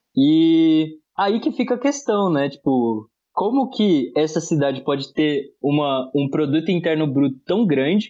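Speaking at a fairly slow pace, a man with a fairly high pitch moves through very wide pitch swings. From Brazil, Osasco (São Paulo area). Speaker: podcast co-host. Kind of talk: casual political discussion.

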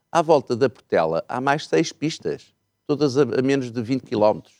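With lively intonation and vocal fry, a man speaks at a medium pitch in a dry, close sound with no echo. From northeastern Portugal, Miranda do Douro. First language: Mirandese (speaking Portuguese). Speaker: party politician. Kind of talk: political interview.

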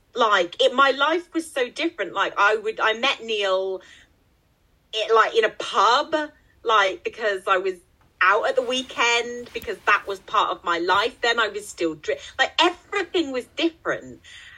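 Here is a woman with a normal speaking voice. Her pitch sits fairly high, and her intonation is lively. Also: fairly slow pace. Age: 40s. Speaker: podcast co-host and author. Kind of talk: casual chat.

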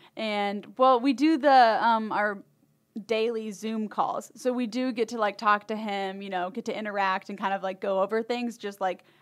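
On a very clean recording with a silent background, a woman with an American accent and an ordinary speaking voice talks at a moderate pace, her medium pitch kept fairly even. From Michigan. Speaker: new media team employee. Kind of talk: casual chat.

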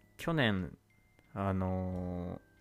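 Music plays behind a man whose pitch is very deep and low. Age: 20s. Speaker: podcast host, university student. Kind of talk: casual solo monologue. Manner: casual, many filler words.

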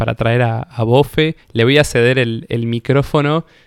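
An unremarkable speaking voice moves at a fairly slow pace with ordinary pitch variation, recorded dry and close with no echo over a very clean, silent background. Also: man. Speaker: podcast co-host. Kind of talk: casual chat.

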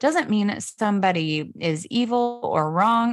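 In an American accent, a woman talks with ordinary pitch variation on a very clean recording with a silent background. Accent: picked up some local southern sayings. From US Pacific Northwest (Spokane, Washington). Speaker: author and speaker. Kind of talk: casual interview chat.

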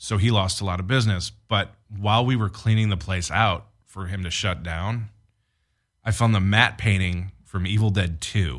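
In a very clean recording with a silent background, a man talks at a moderate pace in an ordinary speaking voice with ordinary pitch variation. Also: fairly low pitch for a man. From Detroit area, Michigan. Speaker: film director and producer. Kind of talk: casual chat.

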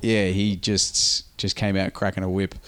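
A man speaks with an Australian accent. His pitch is fairly low. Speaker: podcast host and pro wrestler. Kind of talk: casual chat.

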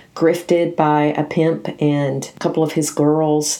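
Dark and mellow in tone, the voice carries a Southern US accent and fairly even intonation. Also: woman. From US South, Nashville, Tennessee. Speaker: podcast host. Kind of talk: book review monologue.

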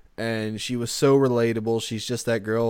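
The man's voice sits at a medium pitch and has an animated tone. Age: 20s. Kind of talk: casual banter. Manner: animated, jokey.

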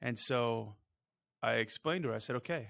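In a very clean recording with a silent background, a man with an ordinary speaking voice talks at a medium pitch and a fairly quick pace. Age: 40s. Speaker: podcast co-host, doctor. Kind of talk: casual chat.

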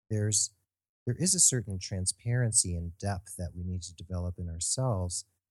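Somewhat breathy and very deep in pitch, a man speaks at a moderate pace with ordinary pitch variation, the sound dry and close with no echo and the background quiet. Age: 50s. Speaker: podcast co-host, nurse. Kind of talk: podcast interview; reading aloud.

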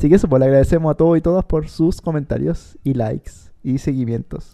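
A man with a Chilean accent speaks at a moderate pace and a fairly high pitch, with lively intonation and a dark, mellow tone. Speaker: podcast co-host. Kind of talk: reading aloud; casual chat.

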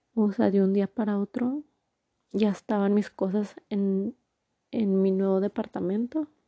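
A woman with a medium pitch and a dark, mellow tone talks at a fairly slow pace, her loudness very even and her intonation fairly even, in a dry, close sound with no echo. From northern Mexico, Torreón, Coahuila. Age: 20s. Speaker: podcaster. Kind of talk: personal storytelling monologue. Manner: casual, filler-heavy.

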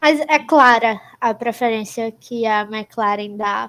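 A woman speaks very slowly at a fairly high pitch. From Brazil. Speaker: podcast co-host, university student. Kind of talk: casual chat.

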